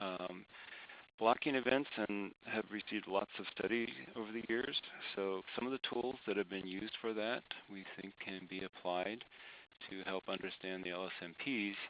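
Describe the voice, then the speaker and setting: This man's pitch is fairly low. He is soft-spoken. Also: fairly even intonation, moderate pace. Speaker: climate scientist presenting research. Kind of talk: webinar presentation. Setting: online webinar.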